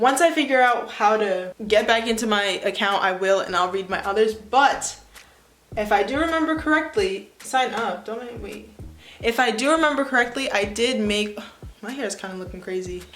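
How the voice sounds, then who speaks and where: Music plays in the background as a woman talks at a moderate pace and fairly high pitch, with ordinary pitch variation, big swings in loudness and audible room echo. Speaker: YouTuber. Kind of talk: casual vlog, reading old writing aloud. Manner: casual, self-mocking.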